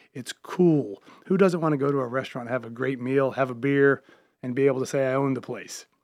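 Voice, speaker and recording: In an American accent, a man with an unremarkable speaking voice talks at a fairly quick pace. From US South, Charlotte, North Carolina. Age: 50s. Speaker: restaurateur and comedy club owner. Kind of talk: radio interview.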